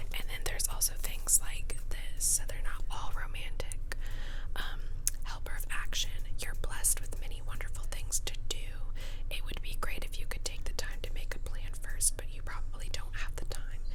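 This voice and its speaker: Over noticeable background noise, a woman's whisper moves at a moderate pace. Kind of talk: ASMR whisper ramble showing tarot cards. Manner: whispered.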